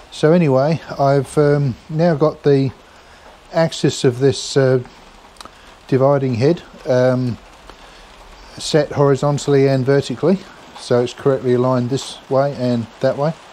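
Man at a fairly slow pace, fairly even intonation and long, frequent pauses, with light background noise. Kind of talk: tutorial. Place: workshop. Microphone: camera far.

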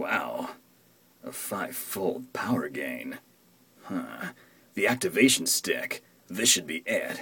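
A man uses a put-on character voice at a low pitch, with a bright, sharp tone, a husky, rough edge and vocal fry. He goes at a slow pace with long, frequent pauses and big pitch swings.

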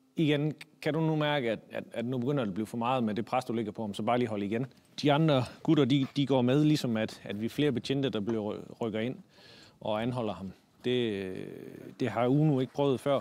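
A man at medium pitch and moderate pace, with ordinary pitch variation and a dry sound with no echo. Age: 40s. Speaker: military dog handler and dog trainer; dog trainer. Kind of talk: casual explanation to camera. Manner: halting, many fillers and repeated words. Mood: calm, matter-of-fact.

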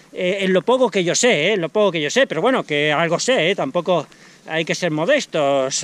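A man's high, lively voice at a moderate pace, dry with no echo. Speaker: sports channel vlogger. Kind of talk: casual vlog chat. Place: open country. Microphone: phone near.

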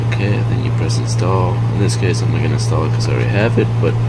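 A man at a fairly quick pace over loud background noise. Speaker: tutorial maker. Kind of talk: tutorial. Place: home room.

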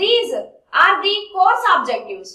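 A woman speaks fairly slowly in a raised, projected voice with a bright, sharp tone. There is audible room echo, but the background is quiet. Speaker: lecturer. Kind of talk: lecture. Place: classroom.

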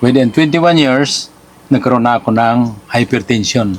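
At a moderate pace, the voice shows ordinary pitch variation against noticeable background noise. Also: man. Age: 60s. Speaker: former overseas worker giving product testimonial. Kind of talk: testimony. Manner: halting.

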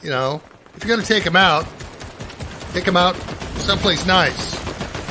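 Against noticeable background noise, a man speaks at a moderate pace in a high pitch with ordinary pitch variation. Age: 70s. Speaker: retired war veteran. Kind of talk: casual advice to camera. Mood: warm, fatherly. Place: home room.

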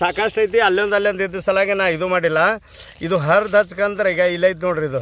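A man speaks with a high pitch. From northern Karnataka, Vijayapura district. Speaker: traditional herbal healer. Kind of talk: outdoor tutorial video on herbal remedies. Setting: outdoors on a hillside. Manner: casual, repetitive, conversational.

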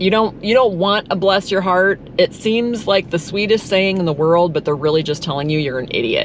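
A woman talks at a moderate pace with few pauses and a fairly low pitch. Her pitch varies in an ordinary way over faint background noise.

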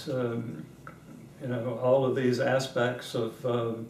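A man speaks at a very slow pace amid audible room echo and light background noise. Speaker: interviewee. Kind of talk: interview answer. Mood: warm, amused, reflective. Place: home room.

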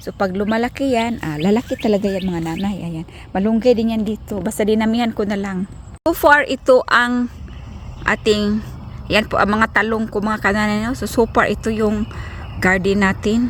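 The woman's voice carries some breathiness. She talks at a moderate speed, her pitch varying in an ordinary way. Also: fairly high pitch for a woman. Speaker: family vlogger. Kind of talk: casual vlog talk. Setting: outdoors in garden. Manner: chatty, laughing.

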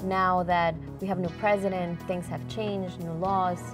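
Against clear music in the background, a woman speaks at a moderate pace. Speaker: TV interviewer. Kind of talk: TV interview questions. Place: studio.

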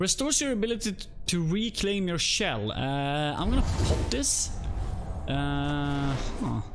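A man speaks fairly slowly while noticeable background noise carries on behind him. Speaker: video game streamer. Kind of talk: casual live-stream gameplay commentary. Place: home room. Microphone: headset.

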